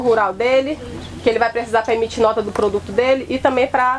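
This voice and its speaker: A woman races along at a very fast pace amid noticeable background noise. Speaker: rural extension agent. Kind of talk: presentation at a symposium. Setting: field day event with audience.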